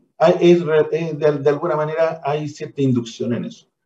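A man speaks in a dark, mellow tone. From Chile, Valparaíso region. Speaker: education foundation director. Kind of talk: radio interview.

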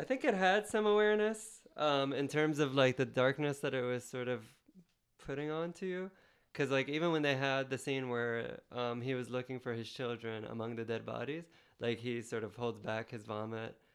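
A plain, everyday voice from a man, medium in pitch, with lively intonation at a moderate pace. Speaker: podcast guest, filmmaker. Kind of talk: casual chat.

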